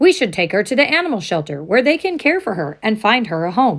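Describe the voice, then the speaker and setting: A woman performs a put-on character voice at a very fast pace. It sits fairly high for a woman, with very wide pitch swings. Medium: read story.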